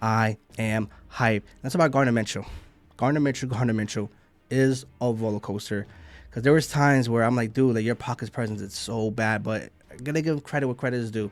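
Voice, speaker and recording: Music plays in the background as a man speaks fairly quickly at a medium pitch with fairly even intonation. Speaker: sports fan commentator. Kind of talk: post-game reaction. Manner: fast; loud.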